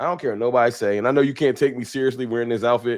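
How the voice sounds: The pace is fast. The recording is very clean, with a silent background. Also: man.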